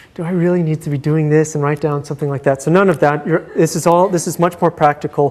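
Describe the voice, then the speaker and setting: Noticeable background noise fills the clip. A man talks at a fairly high pitch with fairly even intonation. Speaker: university lecturer. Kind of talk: lecture. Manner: fast; hesitant, many fillers.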